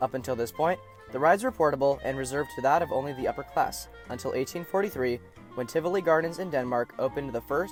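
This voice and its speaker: Over music in the background, a man talks very fast in a fairly high pitch, with ordinary pitch variation. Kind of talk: documentary narration.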